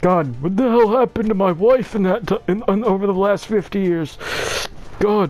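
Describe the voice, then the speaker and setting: A man puts on a high-pitched character voice at a moderate pace. Faint music plays in the background. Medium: game stream.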